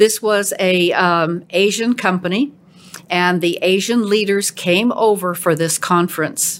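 Speaking fairly slowly in a medium pitch, a woman with an unremarkable speaking voice keeps her loudness very even and varies her pitch in an ordinary way. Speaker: podcast host. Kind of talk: casual interview chat.

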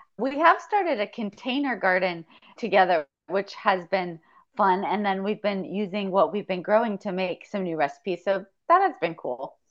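At a moderate pace, a woman with a normal speaking voice talks at medium pitch with ordinary pitch variation. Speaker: coaching client. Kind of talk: coaching conversation.

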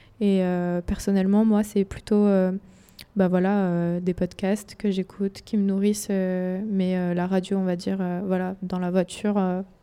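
A woman speaks at a fairly slow pace in a flat, monotone delivery with a dark, mellow tone, captured in a very clean recording with a silent background. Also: medium pitch for a woman. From Nancy, eastern France. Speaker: university student. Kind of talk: radio interview.

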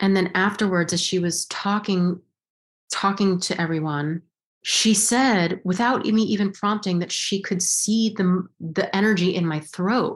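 Her voice sits at a medium pitch and sounds somewhat breathy. The woman speaks at a fairly slow pace. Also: fairly even intonation. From US Southwest, Los Alamos, New Mexico. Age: 40s. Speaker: actress. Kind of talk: interview. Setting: video call.

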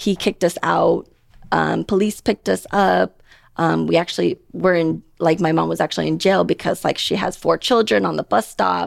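A woman at a moderate pace, very even loudness, a dry, close sound with no echo, and a very clean recording with a silent background. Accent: General American. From Portland, Oregon. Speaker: dentist and practice owner. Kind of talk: casual interview.

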